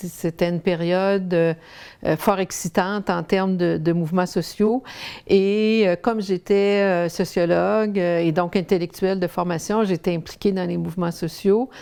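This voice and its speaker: Speaking fairly slowly, a woman uses a dark, mellow tone at a medium pitch with fairly even intonation. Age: 60s. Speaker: sociologist and researcher. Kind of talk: testimony interview. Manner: halting.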